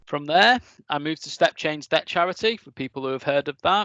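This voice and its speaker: Lively intonation in a Lancashire accent, dry and close with no echo, against a quiet background. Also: man. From northern England, East Lancashire. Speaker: technical engineering manager giving a talk. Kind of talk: presentation talk.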